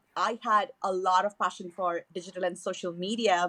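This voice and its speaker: Dry and close with no echo, a woman speaks at a moderate pace with a Tamil accent. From southern India, Chennai. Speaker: email marketing manager. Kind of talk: podcast interview.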